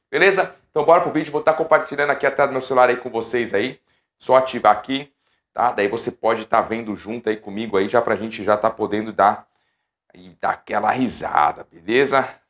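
A man's loudness swings widely while his pitch varies in an ordinary way. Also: fairly quick pace. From São Paulo city, Brazil; Brazil. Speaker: professional futsal goalkeeper and youtuber; youtuber. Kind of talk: casual vlog talk to viewers. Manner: animated. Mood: nostalgic, amused. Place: home room. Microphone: lapel.

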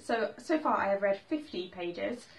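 A woman is speaking here. Her pitch moves in very wide swings. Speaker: book vlogger. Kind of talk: casual vlog chat. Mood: enthusiastic, light laughter. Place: home room. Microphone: camera far.

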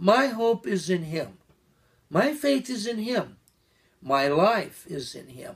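A man speaks at a very slow pace. His intonation is lively. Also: quiet background. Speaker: preacher. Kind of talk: sermon. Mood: earnest, reflective. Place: home room. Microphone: camera far.

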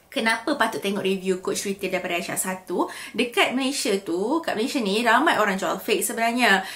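A woman talks at a fairly quick pace. She hardly pauses at all. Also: ordinary pitch variation. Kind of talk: casual vlog chat. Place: home room.

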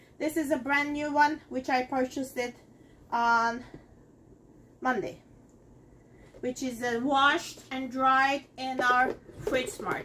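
A woman's raised, projected voice at a very slow pace, with long, frequent pauses, ordinary pitch variation and light background noise. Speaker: home cooking demonstrator. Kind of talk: tutorial. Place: kitchen. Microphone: camera far.

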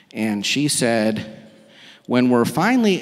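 A man talks at a fairly slow pace, and the background is quiet. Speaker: guest preacher. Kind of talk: sermon. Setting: church with live and online audience. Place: church. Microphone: handheld.

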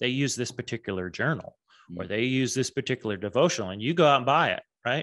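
Talking at a very fast pace with very wide pitch swings and vocal fry, a man with an American accent is heard against a quiet background. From Texas. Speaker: branding and marketing strategist; guest. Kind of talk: interview. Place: home room. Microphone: studio mic.

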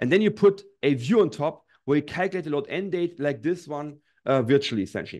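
A man talks at a very fast pace with lively intonation. The background is quiet. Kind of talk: tutorial. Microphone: studio mic.

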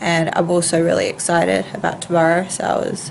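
A nasal woman's voice over light background noise. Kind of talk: casual vlog chat. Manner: nasal, congested voice after nose surgery. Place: home room. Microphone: phone near.

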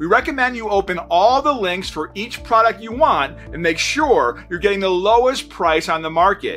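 Faint background music under a man speaking at a moderate speed. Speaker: presenter. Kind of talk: scripted promotional intro. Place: studio.

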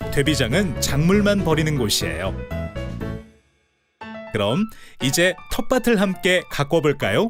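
Music plays in the background as a man with a fairly high pitch talks at a very slow pace, leaving long, frequent pauses. His pitch swings very widely while his loudness stays very even. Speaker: voice actor, narrator. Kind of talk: promotional narration for an educational video. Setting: recording studio.

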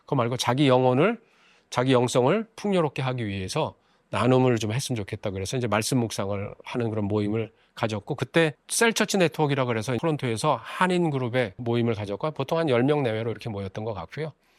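Speaking fairly quickly in an unremarkable speaking voice, a man at a medium pitch uses lively intonation, recorded dry and close with no echo, very clean, with a silent background. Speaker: Mennonite pastor. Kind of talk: lecture-style monologue.

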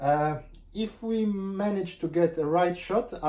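Dark and mellow in tone, the voice belongs to a man. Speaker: home barista vlogger. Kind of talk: tutorial. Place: kitchen. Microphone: camera far.

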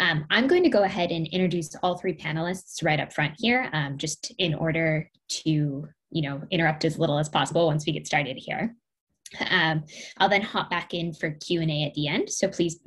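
A woman's very deep, low voice is somewhat breathy, with ordinary pitch variation. She keeps a moderate pace against a quiet background. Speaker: panel moderator. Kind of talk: moderator introduction. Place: home room. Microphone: webcam.

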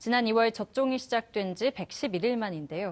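Very slowly, a woman speaks. Her pitch swings very widely. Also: very clean recording, silent background. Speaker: news anchor. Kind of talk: news reading. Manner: formal.

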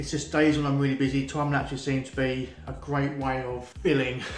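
Faint music plays in the background as a man with a fairly high voice speaks amid audible room echo. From UK. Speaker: vlogger. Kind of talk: casual talk to camera. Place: home room. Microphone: phone near.

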